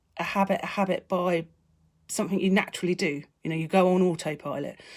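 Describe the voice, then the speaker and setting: A woman speaks at a medium pitch with fairly even intonation. The recording is very clean, with a silent background. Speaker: meditation teacher. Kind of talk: live video talk. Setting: live video. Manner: fast.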